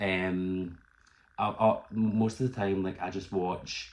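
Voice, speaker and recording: With a Glaswegian accent, a man speaks at a very deep, low pitch in monotone, flat intonation. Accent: Glaswegian Scottish. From Scotland, Glasgow. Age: 20s. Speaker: YouTuber and barber. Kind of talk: casual vlog talk.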